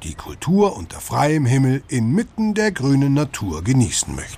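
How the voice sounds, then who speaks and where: Over noticeable background noise, a man with a warm tone and fairly high pitch speaks at a moderate pace with very wide pitch swings. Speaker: audio tour guide. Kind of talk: scripted audio-guide narration addressing listeners as 'Sie'. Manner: formal, friendly, warm and inviting; even, measured pace, promotional tone.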